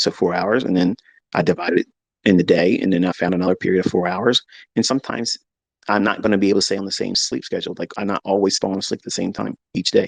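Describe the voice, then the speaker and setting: An animated man at a very fast pace, broken by long, frequent pauses, in a dry, close sound with no echo. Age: 50s. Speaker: trading educator streamer. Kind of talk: live stream monologue. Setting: home office.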